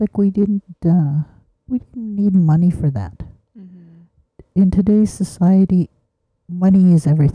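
A woman speaks at a fairly slow pace in a medium pitch, her dark, mellow tone somewhat breathy, with ordinary pitch variation, big swings in loudness, long, frequent pauses, and a dry, close sound with no echo.

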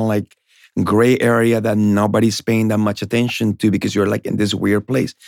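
A man's fairly low voice with a Spanish accent, fairly quick and fairly even in intonation, on a very clean recording with a silent background and a dry, close sound with no echo. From Colombia. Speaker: realtor. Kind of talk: casual interview.

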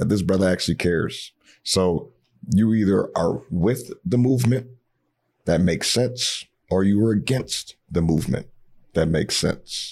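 An animated man with an American accent talks at a moderate pace, his fairly low voice showing ordinary pitch variation. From Ohio, US Midwest. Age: 30s. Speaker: community organizer. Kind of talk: casual podcast interview.

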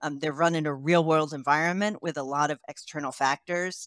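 The voice has an American accent and fairly even intonation, heard in a dry, close sound with no echo. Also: woman. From United States. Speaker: clinical research company CEO. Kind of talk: interview.

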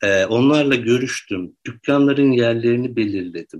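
A plain, everyday voice moves along at a fairly slow pace. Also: man. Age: 30s. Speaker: researcher and writer. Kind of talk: interview. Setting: studio.

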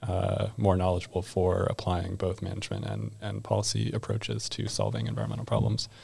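Hardly any pauses, very wide pitch swings, vocal fry, and an American accent. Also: man. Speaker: master's student. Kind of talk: casual chat.

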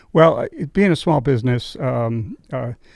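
A man speaks at a medium pitch with a slight New England accent and ordinary pitch variation. The sound is dry and close, with no echo. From western Massachusetts. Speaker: winery owner. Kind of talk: casual interview chat. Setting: studio. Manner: halting, hesitant.

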